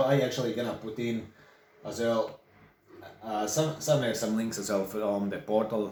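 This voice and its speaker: Amid noticeable background noise and audible room echo, a man with a medium pitch talks at a moderate pace with ordinary pitch variation. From Latvia. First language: Latvian. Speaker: online course creator and songwriter. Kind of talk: tutorial. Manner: casual, halting.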